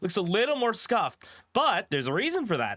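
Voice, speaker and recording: A man's raised, projected voice moves through very wide pitch swings. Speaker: vtuber streamer. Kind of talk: gaming livestream. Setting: livestream. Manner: casual, halting.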